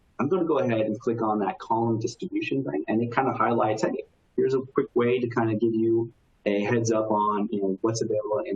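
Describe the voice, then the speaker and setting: Noticeable background noise is present throughout. The delivery is fairly quick, with ordinary pitch variation. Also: man. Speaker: technology consultant presenting software demo. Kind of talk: webinar software demo. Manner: fast; casual with many fillers.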